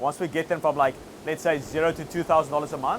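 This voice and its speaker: Speaking at a fairly quick pace, a man with a South African accent has a fairly high pitch. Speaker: agency owner and online coach. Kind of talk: interview. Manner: casual, filler-heavy.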